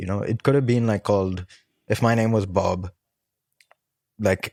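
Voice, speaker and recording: A man's fairly low, dark and mellow voice at a moderate pace, ordinary pitch variation, dry and close with no echo, in a very clean recording with a silent background. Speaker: music producer and film composer. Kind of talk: podcast interview. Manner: casual, many fillers.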